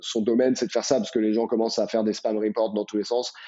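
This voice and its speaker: The man's voice sits at a medium pitch and stays monotone and flat. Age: 30s. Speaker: startup co-founder. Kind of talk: casual interview.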